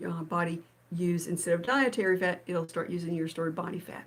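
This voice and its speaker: A woman with an unremarkable speaking voice and fairly low pitch talks at a moderate pace. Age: 60s. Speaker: video blogger on fasting and keto. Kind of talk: casual live stream talk. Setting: live stream.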